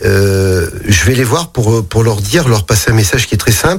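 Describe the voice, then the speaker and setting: Fairly low male voice, fairly slow, with ordinary pitch variation and noticeable background noise. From Saint-Priest, east of Lyon, France. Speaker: mayor and politician. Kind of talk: radio interview. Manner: halting, many repetitions.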